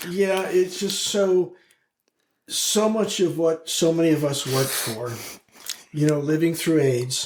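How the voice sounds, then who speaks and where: A man talks at a fairly slow pace, leaving long, frequent pauses. His pitch is high, with ordinary variation. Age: 70s. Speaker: LGBTQ+ activist and community leader. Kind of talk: casual interview chat. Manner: halting, repeats words.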